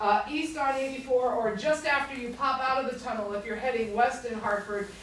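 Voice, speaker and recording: Loud and high-pitched, a woman speaks at a moderate pace amid noticeable background noise and audible room echo. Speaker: historic site administrator. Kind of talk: public talk. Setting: library presentation to audience. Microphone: speaking without the microphone.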